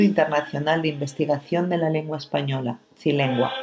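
A woman with a very deep, low pitch speaks against noticeable background noise. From Spain, La Rioja. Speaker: radio presenter. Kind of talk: scripted narration.

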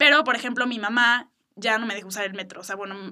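A woman's bright, sharp tone, very fast in pace, with fairly even intonation. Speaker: podcast host. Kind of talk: casual chat.

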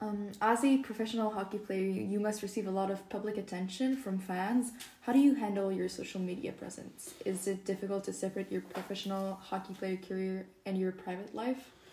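Over noticeable background noise, a woman with a medium-pitched voice speaks fairly quickly and with fairly even intonation. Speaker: student podcast host. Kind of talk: interview.

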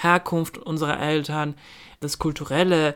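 On a very clean recording with a silent background, a woman speaks. Her pitch is very deep and low, and her intonation is fairly even. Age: 20s. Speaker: podcast co-host. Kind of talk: casual chat.

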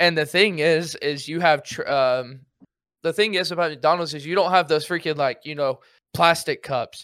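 The recording is very clean with a silent background as a man with a bright, sharp tone and fairly high pitch speaks at a moderate pace with fairly even intonation. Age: 20s. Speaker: Twitch streamer and active duty soldier. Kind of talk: casual chat.

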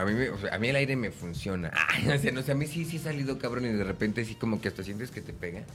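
With hardly any pauses, a man speaks at a very fast pace in a medium pitch with lively intonation, over noticeable background noise. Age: 20s. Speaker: actor. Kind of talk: casual chat.

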